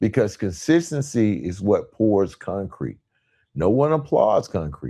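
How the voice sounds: A man speaks at a fairly slow pace with a fairly low pitch and big pitch swings. His tone is dark and mellow, with a slightly husky edge.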